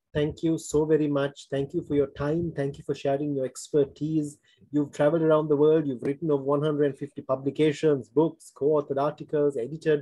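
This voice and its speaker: Against a quiet background, a man with a dark, mellow tone speaks at a fairly quick pace in a fairly high pitch, with flat, monotone intonation and hardly any pauses. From Sri Lanka. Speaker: forum host, former diplomat; forum host. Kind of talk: interview. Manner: formal. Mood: polite, formal, appreciative. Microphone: video call.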